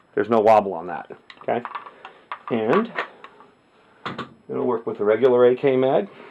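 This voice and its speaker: Speaking at a medium pitch with ordinary pitch variation, a man leaves long, frequent pauses. Noticeable background noise is present. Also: moderate pace. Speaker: firearms hobbyist. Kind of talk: casual talk to camera.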